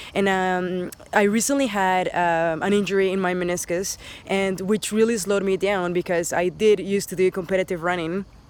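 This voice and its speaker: In a Spanish accent, a woman talks at a moderate pace with a medium pitch for a woman and fairly even intonation. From Dominican Republic, then Spain, raised in Canada. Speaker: teacher. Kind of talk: casting self-introduction. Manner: hesitant, many fillers.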